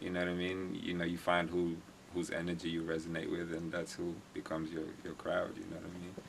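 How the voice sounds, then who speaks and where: A man with an East African accent, very deep and low in pitch, monotone and flat, at a very fast pace, with audible room echo. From Kenya, Nairobi. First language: Swahili. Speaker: music recording engineer. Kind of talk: casual interview. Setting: recording studio.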